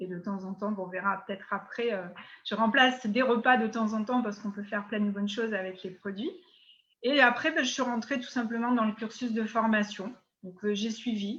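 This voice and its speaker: The background is quiet as a woman speaks at a fairly quick pace. Her pitch is fairly high and her intonation fairly even. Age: 60s. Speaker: network marketing distributor. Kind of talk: interview. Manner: hesitant, many fillers.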